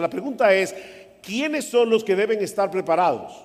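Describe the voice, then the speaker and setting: A man talks at a fairly quick pace while noticeable background noise sounds around him. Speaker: pastor. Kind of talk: sermon. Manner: soft-spoken.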